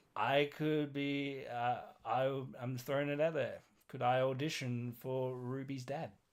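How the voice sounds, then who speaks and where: Speaking at a fairly slow pace, a man with an Australian accent keeps his intonation monotone and flat. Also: fairly high pitch for a man. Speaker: podcast co-host. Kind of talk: casual chat. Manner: halting.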